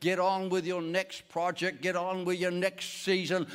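The speaker is a man. His pitch is high. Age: 70s. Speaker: pastor. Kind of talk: sermon. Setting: church.

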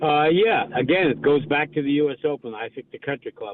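With an American accent, the speech moves at a moderate pace. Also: man. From New York. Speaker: golf professional and radio host. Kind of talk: casual sports radio interview. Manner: hesitant with many fillers.

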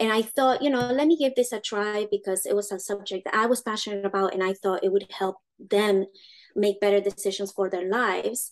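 A woman with a Spanish accent talks at a fairly quick pace with a medium pitch. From Uruguay. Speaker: education founder, homeschool mother. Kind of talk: interview.

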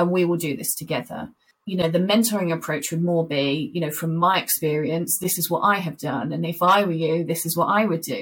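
A woman talks at a fairly quick pace, her somewhat breathy voice fairly low in pitch, with ordinary pitch variation. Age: 40s. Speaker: corporate inclusion executive. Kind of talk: interview.

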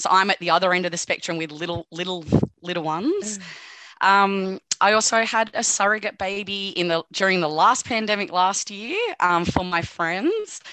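In an Australian accent, a woman talks at a moderate pace and medium pitch, her bright, sharp tone held to fairly even intonation. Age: 30s. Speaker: nursing student. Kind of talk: casual chat. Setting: video call.

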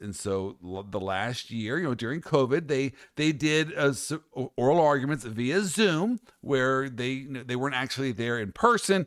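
A man with an American accent speaks at a moderate pace in an animated tone, his pitch swinging very widely. The recording is very clean, with a silent background. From US Midwest. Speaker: podcast host, lawyer. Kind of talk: casual chat.

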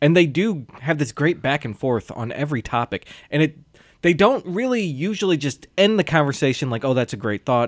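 On a very clean recording with a silent background, a man with an unremarkable speaking voice talks at a fairly quick pace, fairly high in pitch, with lively intonation. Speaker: podcast host. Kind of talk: casual chat about movies.

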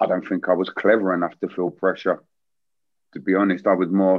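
This man has a very deep, low pitch and a monotone, flat intonation. He talks at a fairly quick pace. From East London. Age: 40s. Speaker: former footballer. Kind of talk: casual interview chat.

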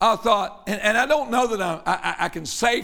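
Raised, projected male voice, high-pitched and bright and sharp in tone, with lively intonation. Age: 60s. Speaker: pastor. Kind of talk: sermon. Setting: church.

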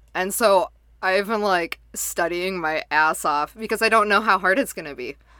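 With a bright, sharp tone, a woman speaks at medium pitch and a moderate pace. Her pitch varies in an ordinary way on a very clean recording with a silent background. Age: 20s. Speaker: podcast co-host. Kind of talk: casual chat.

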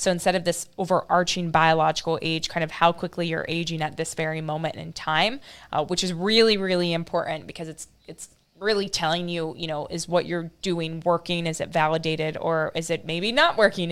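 A woman's ordinary speaking voice, fairly quick, with hardly any pauses. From US Midwest (Ohio, north of Dayton). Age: 20s. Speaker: molecular biologist. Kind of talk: interview. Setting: video call.

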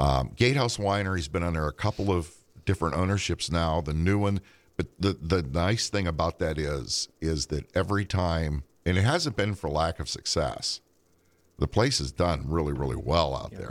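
In a Western Pennsylvania accent, a man speaks at a moderate pace with a very deep pitch, vocal fry and ordinary pitch variation. The recording is very clean with a silent background, dry and close with no echo. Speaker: podcast host, musician. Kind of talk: casual chat.

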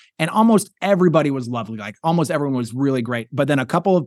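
A man with an American accent and a medium pitch talks at a very fast pace. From Wyoming, US. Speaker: stand-up comedian. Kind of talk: interview conversation. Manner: halting, frequent word repetitions.

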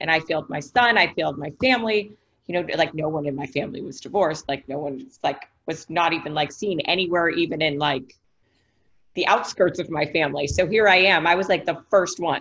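Speaking at a fairly quick pace, a woman with an American accent has a plain, everyday voice, fairly low in pitch, with ordinary pitch variation. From Ohio, US Midwest. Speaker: author. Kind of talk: podcast interview.

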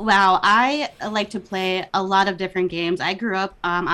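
A woman with a Minnesota accent speaks at a fairly slow pace. Her voice sits at a medium pitch, with ordinary variation. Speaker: podcast guest.

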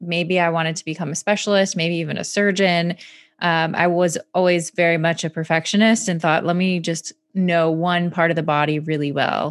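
Heard on a very clean recording with a silent background, a woman in an American accent talks at a moderate pace, fairly low in pitch, with monotone, flat intonation. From Michigan, US Midwest. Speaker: physician. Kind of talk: interview.

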